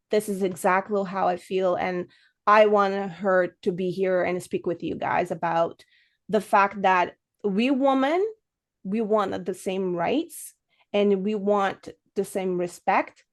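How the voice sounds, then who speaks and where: A woman's medium-pitched voice with a non-native accent, very slow pace and ordinary pitch variation over a quiet background. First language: not English. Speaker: podcast host. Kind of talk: casual interview chat.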